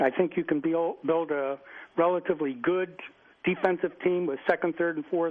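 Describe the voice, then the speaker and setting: A man speaks with an American accent at a moderate pace. His intonation stays fairly even. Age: 60s. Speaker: caller. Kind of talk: radio call-in. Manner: halting.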